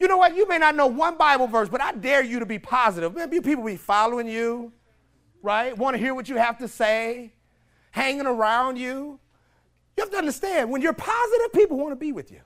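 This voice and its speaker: Lively intonation with big swings in loudness and an animated tone. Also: man, extremely high pitch for a man, fairly quick pace. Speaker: preacher. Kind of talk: sermon. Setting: church with congregation. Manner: animated, call-and-response; exhorting, rising to a celebratory crescendo.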